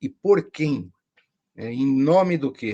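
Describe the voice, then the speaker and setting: A man's medium-pitched delivery shows ordinary pitch variation in a normal speaking voice. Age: 60s. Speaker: professor. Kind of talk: interview.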